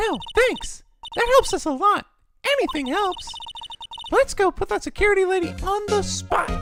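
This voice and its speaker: A squeaky, put-on character voice moves at a moderate pace with long, frequent pauses as music plays in the background. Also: man, extremely high pitch for a man. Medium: game stream. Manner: energetic, exclamatory.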